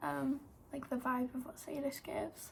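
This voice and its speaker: A woman speaks with a Welsh accent and a high pitch. Her pace is fairly quick. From Wales. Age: 18. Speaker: YouTuber and model. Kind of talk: casual vlog storytelling. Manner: chatty with many fillers.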